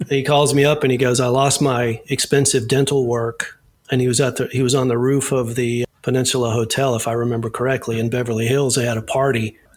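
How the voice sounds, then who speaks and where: Fairly quickly and with hardly any pauses, a man with an American accent speaks at a medium pitch in a monotone, flat intonation and very even loudness. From US South. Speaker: safety diver and actor. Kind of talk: casual interview. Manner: relaxed, halting with repeated words.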